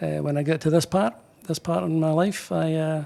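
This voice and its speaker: With a Scottish accent, a man talks at a moderate pace in a dark, mellow tone. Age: 60s. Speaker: pipe band drummer. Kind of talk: interview. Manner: halting.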